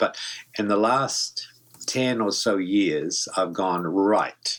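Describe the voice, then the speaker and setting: Here a man talks with a New Zealand accent. His pitch is fairly low, with ordinary pitch variation. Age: 70s. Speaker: voice actor. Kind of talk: interview. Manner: halting.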